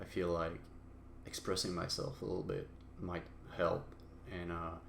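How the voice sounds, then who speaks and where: Heard with audible room echo, a man with a very deep, low pitch speaks fairly slowly with fairly even intonation. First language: not English. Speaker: solo podcaster. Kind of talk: personal monologue. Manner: halting, many fillers.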